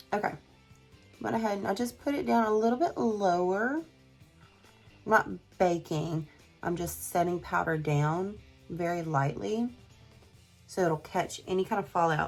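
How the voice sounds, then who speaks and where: A woman with a Southern US accent, fairly low pitch and lively intonation, with music in the background. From south Mississippi. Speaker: beauty YouTuber. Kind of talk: casual makeup review to camera.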